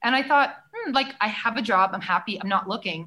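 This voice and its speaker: A woman with a Canadian accent, her voice raised and projected, at a fairly quick pace. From Canada. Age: 40s. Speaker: former music TV host and political candidate. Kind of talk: casual interview.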